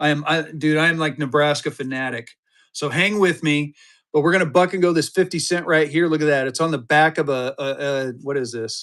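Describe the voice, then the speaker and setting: On a very clean recording with a silent background, a man speaks at a fairly quick pace. His fairly high voice has an animated tone. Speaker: live auction seller of banknotes. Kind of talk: live sales stream. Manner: fast.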